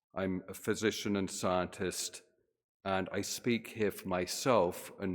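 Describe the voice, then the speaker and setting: A man with a British accent talks at a fairly slow pace. His pitch is very deep and low, and the recording is very clean with a silent background. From Britain. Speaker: physician and scientist, guest speaker. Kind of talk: sermon.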